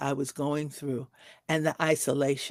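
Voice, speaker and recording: A woman speaks in a very deep, low voice with vocal fry, at a fairly slow pace. The sound is dry and close with no echo, on a very clean recording with a silent background. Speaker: social worker and caregiver. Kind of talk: interview testimony. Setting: live stream. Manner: halting.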